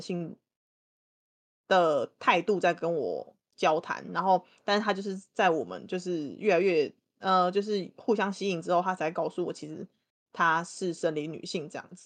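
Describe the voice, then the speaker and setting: A woman's plain, everyday voice, fairly low in pitch, at a moderate pace with big swings in loudness. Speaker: guest co-host. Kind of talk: casual chat.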